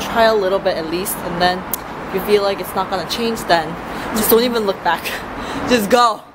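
Noticeable background noise accompanies talking at a moderate pace. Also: woman. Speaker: vlogger. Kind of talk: casual vlog chat. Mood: relaxed, friendly. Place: street. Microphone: phone near.

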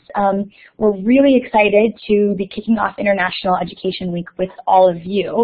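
In an American accent, a woman with an unremarkable speaking voice talks at a moderate pace and medium pitch. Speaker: moderator. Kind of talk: panel moderation. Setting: video call.

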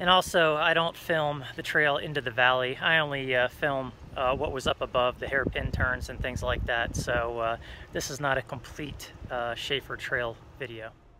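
With noticeable background noise, a man talks at a moderate pace with fairly even intonation. The sound is dry, with no echo. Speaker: overlanding vlogger. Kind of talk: casual vlog chat. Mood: relaxed, friendly. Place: open country. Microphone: phone near.

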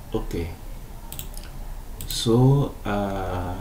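Audible room echo surrounds a man speaking in a French accent. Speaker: graphic designer. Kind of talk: tutorial. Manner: halting.

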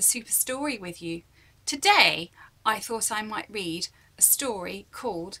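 In an unforced reading voice, the speaker reads with lively intonation.

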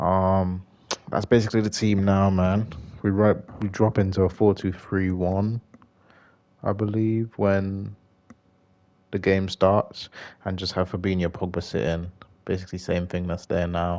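A man's very deep, low voice in a British accent, dark and mellow, monotone and flat, at a fairly slow pace with long, frequent pauses. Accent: British English, informal. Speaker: gaming YouTuber. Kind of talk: casual gameplay chat, reacting to the match as it plays. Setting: home recording, gaming stream.

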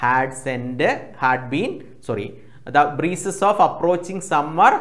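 The background stays quiet while a man talks. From Kerala, India. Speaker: online tuition teacher. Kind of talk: lecture. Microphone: lapel.

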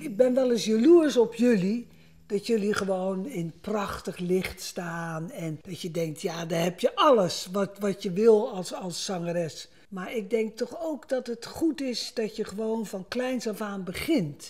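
A woman speaks at a very slow pace. Her loudness swings a lot. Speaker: guest. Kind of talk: conversational interview answer. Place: kitchen. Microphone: lapel.

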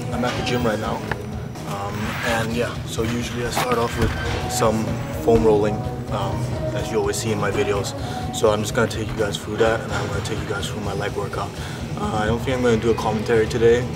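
With loud music in the background, a man talks at a fairly quick pace. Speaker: university student vlogger. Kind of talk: casual vlog chat. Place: gym. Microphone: phone near.

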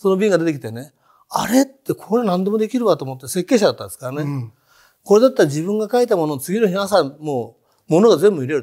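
Against a quiet background, a man with a high-pitched, dark, mellow voice speaks at a very fast pace, with very wide pitch swings and big swings in loudness. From Japan, Hiroshima. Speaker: entrepreneur. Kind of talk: interview conversation. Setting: studio. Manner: animated, humorous. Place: studio. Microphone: lapel.

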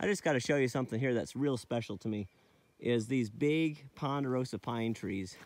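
Recorded dry with no echo, a man speaks at a moderate pace with ordinary pitch variation. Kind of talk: casual vlog narration. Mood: enthusiastic, admiring. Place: forest.

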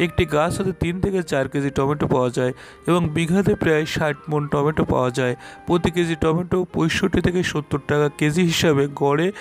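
Faint music plays behind a man. His intonation stays fairly even. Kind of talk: field presentation to camera. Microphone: lapel.

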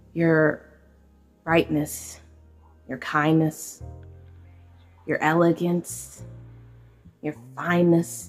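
Music plays in the background as a woman speaks very slowly in a very deep, low pitch with fairly even intonation. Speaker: poet in cosplay. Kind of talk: poetry reading. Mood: romantic, wistful. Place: home room. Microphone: phone near.

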